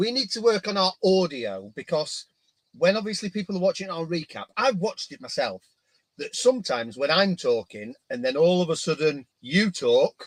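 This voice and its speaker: A man with a high pitch and very wide pitch swings at a moderate pace, in a dry, close sound with no echo. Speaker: marine aquarium coral fragging livestream co-host. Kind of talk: casual chat. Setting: livestream. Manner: quiet.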